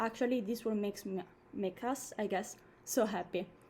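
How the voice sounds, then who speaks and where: A dark, mellow tone with a non-native accent, at a moderate pace. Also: woman. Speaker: dancer and performance artist. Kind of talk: introduction to a live online performance. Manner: animated.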